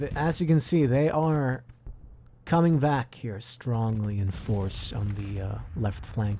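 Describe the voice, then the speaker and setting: Speaking at a very slow pace, a man with a medium pitch has lively intonation and a somewhat breathy voice. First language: not English. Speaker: gaming video creator. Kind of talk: gameplay commentary. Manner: casual, hesitant with fillers.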